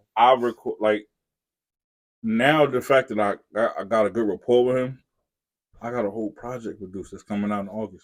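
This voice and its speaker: The recording of this man is very clean, with a silent background. His medium-pitched voice has long, frequent pauses and big swings in loudness. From Newark, New Jersey. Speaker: hip-hop artist and producer. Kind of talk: casual chat. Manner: animated; fast.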